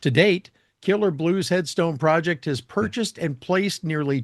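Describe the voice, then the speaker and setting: A man with an American accent speaks at a moderate pace in a normal speaking voice, his pitch fairly high. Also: quiet background. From Michigan. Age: 60s. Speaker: podcast and radio host. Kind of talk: interview; scripted appeal for donations.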